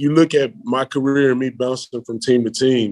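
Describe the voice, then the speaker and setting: A man at medium pitch with a Memphis accent, dry and close sound with no echo. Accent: Southern US (Memphis) English. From Memphis, US South. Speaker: American football player. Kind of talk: interview.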